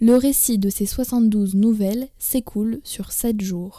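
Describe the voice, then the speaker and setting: A woman speaks in a dark, mellow tone with fairly even intonation. The recording is very clean, with a silent background. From France. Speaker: stand-in podcast host. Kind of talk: scripted narration.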